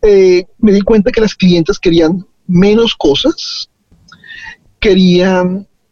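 A high-pitched man at a very slow pace, with ordinary pitch variation and a dry, close sound without echo. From Colombia. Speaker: fashion designer. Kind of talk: interview. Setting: in a car.

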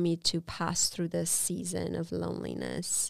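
A woman with a Romanian accent talks at a fairly slow pace. Her pitch is fairly low. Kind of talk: testimony. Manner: halting.

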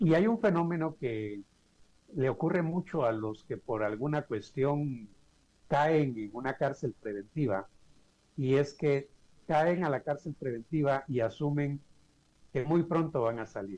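Speaking at a fairly slow pace, a man uses a fairly high pitch, a dark, mellow tone and lively intonation. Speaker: mental health organization director. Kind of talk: interview.

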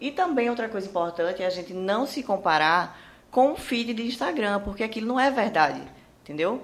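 A woman talks with lively intonation. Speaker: entrepreneur. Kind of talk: interview. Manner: talkative.

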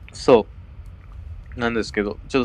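There is vocal fry in this man's voice. His pitch varies in an ordinary way. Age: 20s. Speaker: theatre director. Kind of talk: casual chat.

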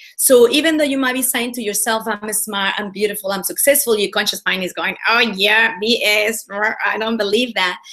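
Speaking at a moderate pace with hardly any pauses, a woman with a fairly high voice and ordinary pitch variation is heard over noticeable background noise. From Mexico. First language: Spanish. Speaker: women's leadership coach. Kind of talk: interview. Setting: video call.

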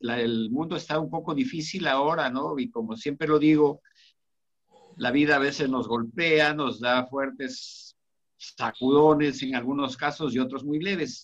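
Using a plain, everyday voice, a man talks at a fairly slow pace with a fairly high pitch and ordinary pitch variation. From Cajamarca, northern Peru. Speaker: author. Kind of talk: casual chat.

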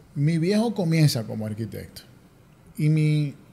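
A man speaks at a fairly slow pace, his pitch fairly high. The tone is dark and mellow, somewhat breathy. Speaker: architect. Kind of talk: casual interview. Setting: office.

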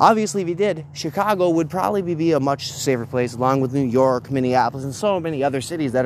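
Over noticeable background noise, a man with a fairly high pitch talks in an animated tone with ordinary pitch variation. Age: 30s. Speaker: political commentary podcaster. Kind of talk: solo political commentary rant.

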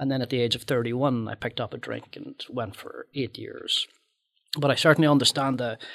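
A man talks at a fairly quick pace in a Northern Irish accent. The sound is dry and close, with no echo. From Northern Ireland. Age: 50s. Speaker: filmmaker and author. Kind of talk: casual chat.

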